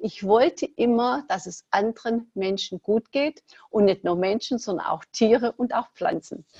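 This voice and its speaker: At a fairly slow pace, a woman talks in a fairly high pitch with a dark, mellow tone, the sound dry and close with no echo. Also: lively intonation. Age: 60s. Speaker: entrepreneur, former fitness studio owner. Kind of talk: podcast interview.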